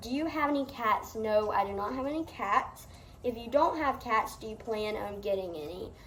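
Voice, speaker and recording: This woman has a Southern US accent and talks at a moderate pace with lively intonation. Her loudness swings widely, and room echo is audible. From US South. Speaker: farm vlogger. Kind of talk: Q&A vlog. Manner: casual.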